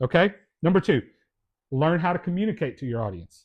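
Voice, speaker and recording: A man with a Kentucky accent, fairly high pitch and an animated tone, over a quiet background. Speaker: sales and leadership teacher. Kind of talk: lecture.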